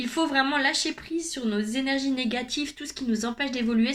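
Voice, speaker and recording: Her pitch is high, and this woman speaks at a moderate pace with ordinary pitch variation. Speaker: youtuber, personal development coach. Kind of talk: vlog monologue.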